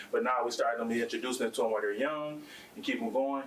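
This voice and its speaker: The speech goes by at a very fast pace. Background noise is noticeable. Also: man. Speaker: athletic director. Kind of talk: board meeting report. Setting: school board meeting. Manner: animated.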